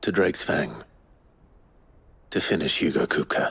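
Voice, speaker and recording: A man puts on a raspy character voice with a very deep, low pitch. He keeps a moderate pace, and the sound is dry and close with no echo. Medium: video game. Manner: terse, low-key.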